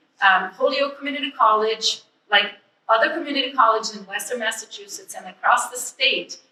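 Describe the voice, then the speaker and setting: A woman's voice sits at a fairly high pitch with a bright, sharp tone. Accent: non-native. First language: not English. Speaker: ESL educator. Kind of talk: public speech. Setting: museum event.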